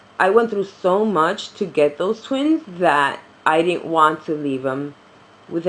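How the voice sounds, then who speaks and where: Over noticeable background noise, a woman with an American accent sounds animated, her intonation lively. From New York City. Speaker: reborn doll vlogger. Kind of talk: casual chat.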